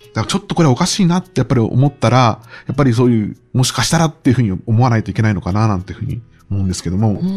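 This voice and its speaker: A man with a medium pitch speaks very fast in a somewhat breathy voice with lively intonation. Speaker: book editor. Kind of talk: interview conversation. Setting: recording at publisher's office.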